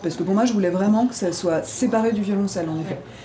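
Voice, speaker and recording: A woman of medium pitch talks at a very fast pace with ordinary pitch variation. Noticeable background noise is present. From Ardennes, France. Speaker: improvising double bassist. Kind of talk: interview. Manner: halting.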